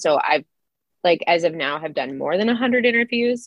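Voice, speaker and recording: A woman talks in a normal speaking voice with lively intonation. Her pace is moderate. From Idaho, Silver Valley. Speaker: author and former professor. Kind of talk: interview.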